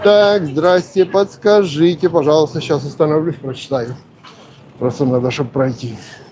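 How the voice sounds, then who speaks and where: Someone talks at a moderate pace with ordinary pitch variation. Noticeable background noise can be heard. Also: man, fairly high pitch for a man. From Polesie region, Ukraine–Belarus border. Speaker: vlogger. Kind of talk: live stream casual talk. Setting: outdoors on a walk. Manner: casual, conversational.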